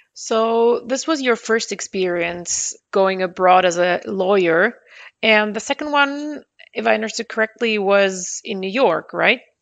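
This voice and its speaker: A woman speaks at a fairly slow pace with a German accent. Her pitch sits fairly high, with ordinary pitch variation. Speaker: podcast host, lawyer. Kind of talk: interview.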